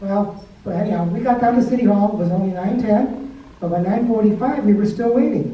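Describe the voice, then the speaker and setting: With lively intonation and a high pitch, a man talks at a moderate pace against noticeable background noise. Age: 70s. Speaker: amateur stand-up comedian, retired software designer. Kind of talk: stand-up comedy set. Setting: live theater stage. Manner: hesitant, halting.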